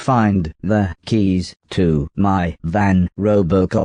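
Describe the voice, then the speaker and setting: Delivered at a very slow pace with fairly even intonation, the voice has a dry, close sound with no echo. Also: man, very deep, low pitch for a man. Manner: through gritted teeth, curt.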